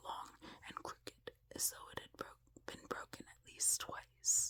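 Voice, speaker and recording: A woman whispers at a fairly slow pace. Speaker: ASMR creator. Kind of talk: reading aloud. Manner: whispering.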